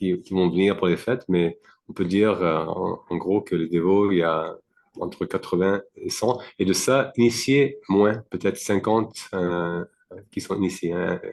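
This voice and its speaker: A man's very deep, low voice at a fairly slow pace, with ordinary pitch variation over a quiet background. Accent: non-native. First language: not French (speaking French). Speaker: devotee, temple community member. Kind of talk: interview. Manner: halting, many fillers.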